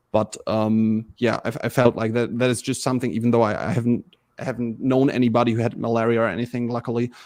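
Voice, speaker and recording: Very fast, monotone, flat speech in a German accent, in a very clean recording with a silent background. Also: man, medium pitch for a man. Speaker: diplomacy player in charity tournament. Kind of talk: interview. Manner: halting.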